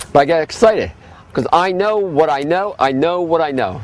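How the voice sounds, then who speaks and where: Talking at a fairly quick pace, a man uses lively intonation. Audible room echo and noticeable background noise surround him. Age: 60s. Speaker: health food store owner giving a class. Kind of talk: lecture. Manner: fast.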